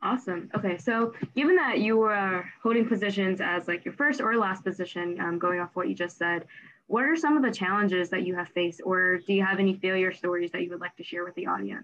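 A woman in a plain, everyday voice talks at a fairly quick pace and medium pitch, with ordinary pitch variation and hardly any pauses. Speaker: student podcast host. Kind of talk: interview.

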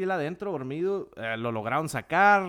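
Pitch variation in this man's speech is ordinary. The recording itself is very clean, with a silent background. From Mexico, Jalisco (small town). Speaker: dentist. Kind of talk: casual chat. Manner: halting.

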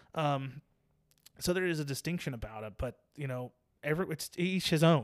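A plain, everyday voice with an American accent moves at a fairly quick pace with ordinary pitch variation. The recording is very clean, with a silent background. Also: man. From Virginia Beach, Virginia. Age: 30s. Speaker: barber and shop owner. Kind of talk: casual interview conversation.

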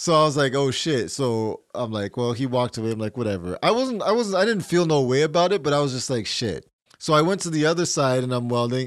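A man talks at a fairly high pitch with lively intonation. He leaves hardly any pauses. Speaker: podcast co-host. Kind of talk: casual chat. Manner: loud.

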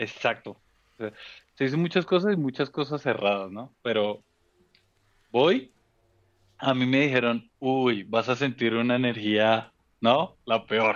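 Talking at a fairly slow pace with long, frequent pauses, a man uses a medium-pitched voice with ordinary pitch variation. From Colombia, Bogotá. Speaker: office worker. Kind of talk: casual chat.

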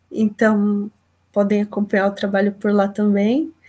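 Her voice sits fairly high in pitch. This woman talks very slowly. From São Paulo coast, Brazil. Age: 20s. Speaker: geography teacher and visual artist. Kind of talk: panel talk.

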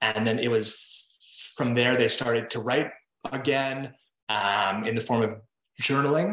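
An ordinary speaking voice belongs to a man at medium pitch. He talks at a fairly slow pace with fairly even intonation. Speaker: writer and digital creator. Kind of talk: podcast interview. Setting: video call.

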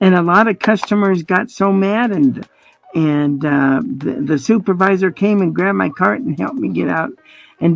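Using a plain, everyday voice, a woman speaks at a moderate pace and medium pitch with lively intonation. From Colorado. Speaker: blind guide dog user. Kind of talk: interview.

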